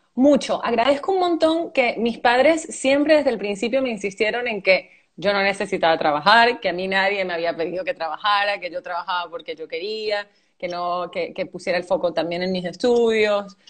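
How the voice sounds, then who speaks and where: A woman with a medium-pitched voice talks at a moderate pace, her intonation lively. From Venezuela, raised by Argentine parents. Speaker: actress. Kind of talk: interview. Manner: hesitant, many fillers.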